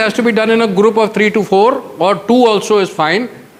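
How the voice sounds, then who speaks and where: Over noticeable background noise, a man speaks with a Marathi accent at a moderate pace. His pitch is high. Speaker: retired air force officer, mentor. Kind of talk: motivational guidance talk to students. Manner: code-switches between English and Hindi.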